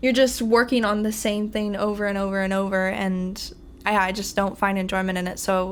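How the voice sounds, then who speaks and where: A woman talks at a fairly quick pace and a medium pitch, her intonation monotone and flat. Audible room echo surrounds her voice. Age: 20s. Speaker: university student. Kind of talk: podcast interview.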